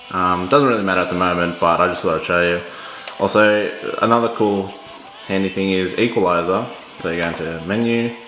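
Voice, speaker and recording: Noticeable background noise sits behind a man whose very deep, low voice moves at a fairly quick pace with fairly even intonation. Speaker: product reviewer. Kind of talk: casual talk to camera. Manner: casual, hesitant.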